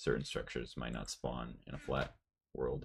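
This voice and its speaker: Quiet and at a moderate pace, a man talks with vocal fry. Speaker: gaming streamer. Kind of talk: casual chat. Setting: livestream, early morning at home. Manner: quiet, low voice.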